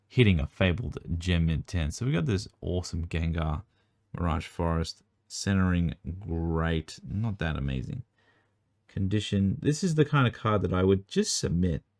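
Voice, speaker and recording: A man with an Australian accent speaks at a moderate pace, his very deep, low voice carrying lively intonation. The recording is very clean with a silent background, and the sound is dry and close with no echo. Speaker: trading card collector and video creator. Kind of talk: casual card review tutorial. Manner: casual, filler-heavy.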